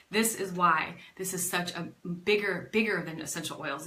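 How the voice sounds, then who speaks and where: Noticeable background noise and audible room echo surround a woman whose medium pitch shows ordinary variation. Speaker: network marketing team leader. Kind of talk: live stream motivational talk. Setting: facebook live video. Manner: fast; animated.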